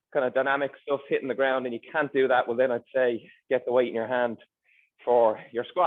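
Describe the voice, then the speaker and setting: The speaker is a man with a medium pitch and an Irish accent. He talks at a very fast pace. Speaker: personal trainer. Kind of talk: tutorial.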